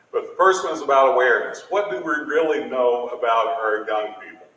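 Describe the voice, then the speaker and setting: With an American accent, a man talks at a moderate pace over audible room echo. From Appalachia, southeastern Kentucky. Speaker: education official, keynote speaker. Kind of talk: keynote speech. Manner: emphatic, preacherly.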